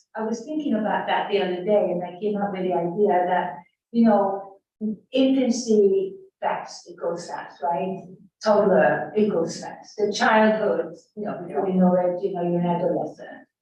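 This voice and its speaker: A woman talks at a moderate pace, her pitch medium with ordinary variation. Audible room echo surrounds her voice. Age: 80s+. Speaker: study group participant. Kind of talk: group discussion.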